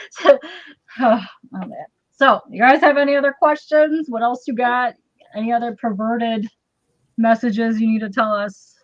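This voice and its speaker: Taking long, frequent pauses, a woman with a Midwestern American accent speaks at a moderate pace and a fairly high pitch, showing ordinary pitch variation and big swings in loudness. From Michigan. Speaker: interview show host. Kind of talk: casual chat.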